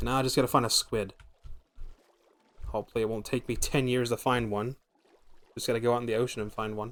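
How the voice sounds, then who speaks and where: Speaking very fast yet with long, frequent pauses, a man of medium pitch keeps a flat, monotone intonation. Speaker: VTuber streamer. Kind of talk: live gameplay commentary. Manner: casual, chatty.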